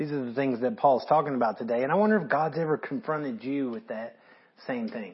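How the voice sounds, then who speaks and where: Very fast and lively in intonation, this man talks quickly. His pitch is fairly high. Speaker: pastor. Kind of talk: sermon. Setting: recorded video to camera.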